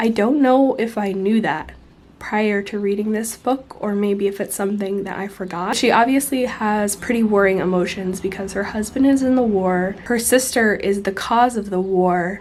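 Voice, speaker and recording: Over noticeable background noise, a woman talks at a moderate pace in a medium pitch with fairly even intonation and hardly any pauses. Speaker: book vlogger. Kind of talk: casual vlog talk. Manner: casual, chatty.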